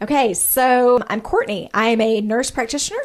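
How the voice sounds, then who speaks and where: With a slight Arkansas accent, a woman speaks at a moderate pace. Her pitch variation is ordinary. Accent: slight Arkansas country twang. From US South, small-town Arkansas. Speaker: nurse practitioner, podcast co-host. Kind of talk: casual chat. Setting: studio. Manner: talkative.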